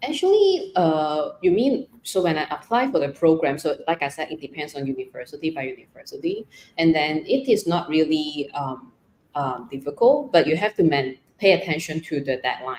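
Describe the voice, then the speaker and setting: A woman speaks with a Cantonese accent in a very deep, low voice. Her intonation is lively and her pace moderate. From Hong Kong. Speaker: trainee counsellor, masters student. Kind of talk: live Q&A interview.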